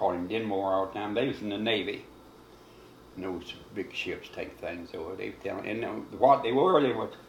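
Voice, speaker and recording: Here a man speaks with a Kentucky accent. His pace is moderate. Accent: Southern American, rural Kentucky. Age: 80s+. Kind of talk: interview answer. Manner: rambling, conversational.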